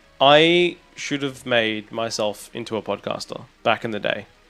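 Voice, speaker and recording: A man with an Australian accent and ordinary pitch variation, music in the background. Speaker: gaming streamer. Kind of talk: casual live stream chat. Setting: live stream. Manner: calm, relaxed; not loud.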